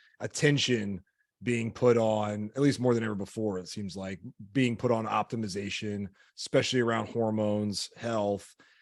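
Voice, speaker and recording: Here is a man with medium pitch and a plain, everyday voice. He speaks at a moderate pace. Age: 30s. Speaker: podcast host, health coach. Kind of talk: podcast interview.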